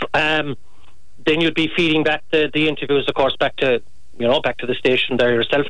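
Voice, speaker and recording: Over noticeable background noise, a man speaks at a fairly quick pace. His pitch is fairly high and his intonation fairly even. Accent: Kerry. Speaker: former sports commentator. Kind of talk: interview. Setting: phone call.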